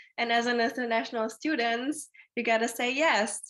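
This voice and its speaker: A woman with a German accent speaks at a moderate pace and a fairly high pitch, with fairly even intonation against a quiet background. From Germany. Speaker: alumna panelist. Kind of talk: panel discussion.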